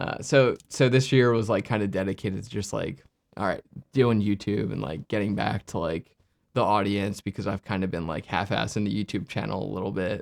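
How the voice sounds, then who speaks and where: Fairly quick speech from a man, his fairly low voice carrying vocal fry and ordinary pitch variation. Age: 30s. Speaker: filmmaker and YouTuber. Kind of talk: casual interview chat. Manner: halting, heavy use of filler words.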